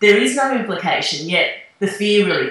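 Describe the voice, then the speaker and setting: In a North Queensland accent, a woman speaks with a fairly high pitch and lively intonation amid audible room echo. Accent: North Queensland Australian. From Australia, North Queensland. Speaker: author. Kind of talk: interview.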